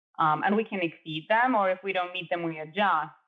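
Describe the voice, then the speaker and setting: A woman's fairly low voice with a Spanish accent, ordinary pitch variation and a moderate pace. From Chile. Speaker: architect and adjunct professor. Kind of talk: interview.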